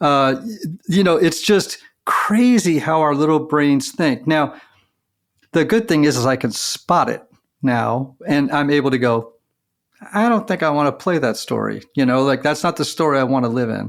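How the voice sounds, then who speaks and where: A man's ordinary speaking voice, an ordinary speaking voice, fairly high in pitch, with lively intonation at a moderate pace. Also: very clean recording, silent background. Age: 60s. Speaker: podcast host. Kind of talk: interview conversation.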